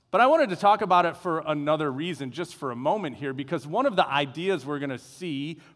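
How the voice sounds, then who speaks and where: In a very clean recording with a silent background, a man's voice moves through very wide pitch swings. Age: 50s. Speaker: pastor. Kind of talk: sermon. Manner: casual, halting with frequent uh fillers.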